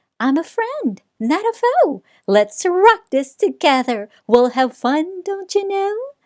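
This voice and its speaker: A squeaky, put-on character voice from a woman, extremely high in pitch, with very wide pitch swings, at a fairly slow pace. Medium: read story. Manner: meek, squeaky.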